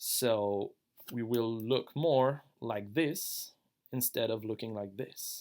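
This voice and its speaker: A man speaks very slowly with a French accent. His pitch sits in the middle range and varies in an ordinary way. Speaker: online gaming guild member. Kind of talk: tutorial. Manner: casual, slightly halting.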